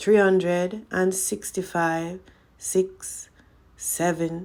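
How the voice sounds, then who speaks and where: In a croaky, put-on character voice, the speaker goes at a very slow pace with monotone, flat intonation on a very clean recording with a silent background. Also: female-sounding voice, medium pitch for a woman. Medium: read story. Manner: monotonous.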